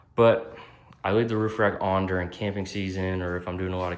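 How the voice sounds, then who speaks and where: Audible room echo surrounds a man speaking at a very fast pace. His very deep, low voice stays monotone and flat. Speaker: automotive YouTuber. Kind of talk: casual vlog tutorial.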